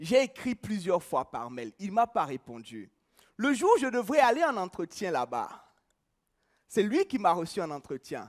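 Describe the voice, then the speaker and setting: In a dry, close sound with no echo, a man at high pitch speaks at a fairly slow pace with long, frequent pauses, very wide pitch swings and big swings in loudness. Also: very clean recording, silent background. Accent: Beninese. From Benin (Cotonou). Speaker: preacher and journalist. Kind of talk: testimony.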